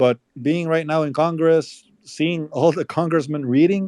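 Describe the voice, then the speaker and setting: A man with a Spanish accent and a dark, mellow tone speaks fairly slowly at a fairly high pitch, the sound dry and close with no echo. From El Salvador. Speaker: politician's brother and campaign manager. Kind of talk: live interview. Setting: online audio room. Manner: halting.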